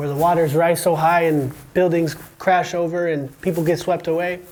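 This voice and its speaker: A high-pitched man with an American accent. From USA. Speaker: podcast host and teacher. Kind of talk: casual educational interview. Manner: animated.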